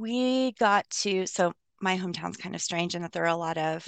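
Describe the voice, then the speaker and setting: An unremarkable speaking voice moves at a moderate pace. The background is quiet. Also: woman. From US, Colorado. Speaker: physician and troop leader. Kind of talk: casual interview.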